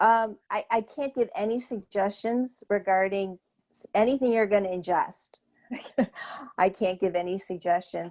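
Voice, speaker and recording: In a plain, everyday voice, a woman speaks at medium pitch with ordinary pitch variation and big swings in loudness. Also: moderate pace. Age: 60s. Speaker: therapist and cancer wellness coach. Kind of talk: Q&A after an online talk.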